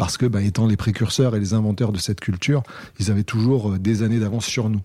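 This man talks at a very fast pace in a fairly low pitch. His tone is dark and mellow, with fairly even intonation. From southern France, Cannes (Alpes-Maritimes). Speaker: rapper and lyricist. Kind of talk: interview.

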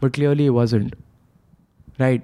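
A man's dark, mellow tone. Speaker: social media comedian. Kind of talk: casual chat. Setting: studio.

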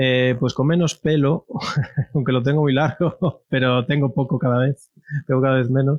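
The man keeps his intonation fairly even while speaking at a moderate pace. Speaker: database creator and IT professional. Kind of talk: interview. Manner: halting, many repetitions.

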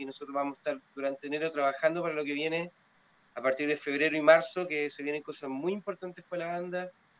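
Very fast and monotone, a man with a fairly high pitch talks with flat intonation. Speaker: blues musician. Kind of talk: casual chat.

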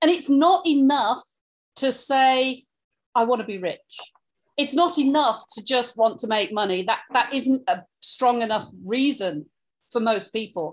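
With an English accent, a woman speaks in a high pitch at a fairly slow pace, her intonation lively. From England. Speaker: podcast co-host, online entrepreneur. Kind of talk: casual chat.

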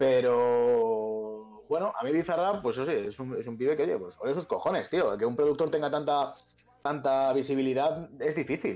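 With a central Spanish accent, a man speaks in a dark, mellow tone at a fairly high pitch with ordinary pitch variation. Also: moderate pace. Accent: central Spain Spanish. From Spain, Pinto (Madrid). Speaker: rapper and music producer. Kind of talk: casual chat.

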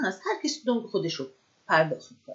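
A woman speaks with a somewhat breathy voice. Her pitch swings very widely. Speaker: podcast host. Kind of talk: casual monologue.

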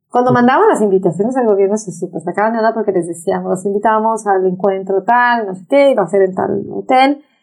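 Speaking at a fairly quick pace, a woman sounds animated, her pitch varying in an ordinary way. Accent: Mexican. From Mexico, Acapulco. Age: 50s. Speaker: environmental activist. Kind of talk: interview. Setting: office.

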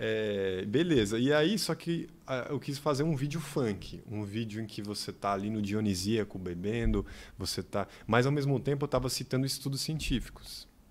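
In an ordinary speaking voice, a man with a medium pitch talks at a moderate pace with lively intonation on a very clean recording with a silent background. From Bahia backcountry, raised in São Paulo. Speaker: funk researcher and content creator. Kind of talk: casual chat.

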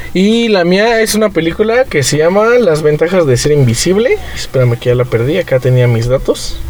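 A man with a Mexican accent speaks at a high pitch and a moderate pace with very wide pitch swings, very even loudness and hardly any pauses, over noticeable background noise. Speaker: podcast host. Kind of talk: casual chat.

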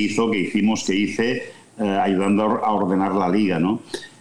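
A fairly low-pitched man amid noticeable background noise and audible room echo. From Catalonia, Spain (Vic). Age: 60s. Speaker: sports business executive and former journalist. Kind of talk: interview. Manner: halting, frequent repetitions.

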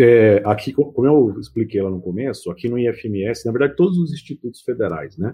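Using a normal speaking voice, a man talks at medium pitch and a moderate pace with lively intonation and hardly any pauses. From São Paulo ABC region (Mauá), Brazil. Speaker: IT professor. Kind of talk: casual chat.

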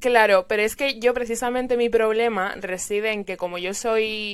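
This woman has a plain, everyday voice with a fairly high pitch. She keeps a moderate pace and fairly even intonation. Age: 20s. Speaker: podcast host. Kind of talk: casual chat. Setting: video call.

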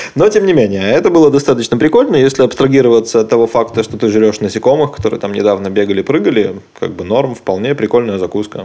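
Noticeable noise runs in the background. A man speaks at medium pitch with ordinary pitch variation. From Belarus. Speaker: podcast host. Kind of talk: casual chat.

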